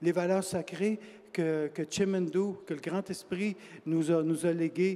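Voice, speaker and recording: Very slowly, a man talks in a high pitch. His tone is dark and mellow. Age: 60s. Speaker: author. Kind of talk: panel discussion. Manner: hesitant, many fillers and repetitions.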